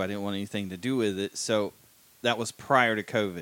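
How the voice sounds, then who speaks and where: On a very clean recording with a silent background, a man with a fairly low pitch talks at a fairly quick pace in an unremarkable speaking voice. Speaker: podcast co-host. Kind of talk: casual interview.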